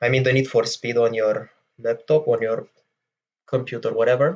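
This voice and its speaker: A man with a Romanian accent speaks at a medium pitch, his intonation fairly even. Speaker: gaming tutorial youtuber. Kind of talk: tutorial. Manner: hesitant, many fillers. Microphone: voice may be quieter than game audio.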